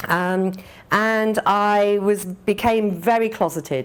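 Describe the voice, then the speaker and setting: A woman with an English accent speaks in a very clean recording with a silent background. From England. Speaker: business executive. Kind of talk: speech. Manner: hesitant with many fillers.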